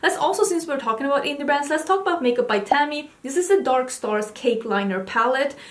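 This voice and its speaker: The speaker is female. She talks at a high pitch. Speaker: makeup vlogger. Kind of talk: casual vlog chat. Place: home room.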